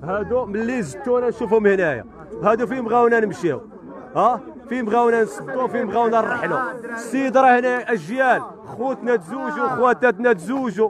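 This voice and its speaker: A man talks at a moderate pace with an extremely high pitch. The sound is dry with no echo, and background noise is noticeable. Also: ordinary pitch variation. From Morocco, Oujda; Morocco. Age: 20s. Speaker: local resident. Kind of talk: street interview complaint. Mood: angry protest. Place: street. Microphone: handheld.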